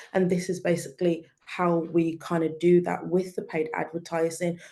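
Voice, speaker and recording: With a British accent, a woman speaks at a fairly low pitch and a moderate pace, her intonation monotone and flat and her tone dark and mellow. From UK. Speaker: digital marketing specialist. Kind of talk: webinar presentation.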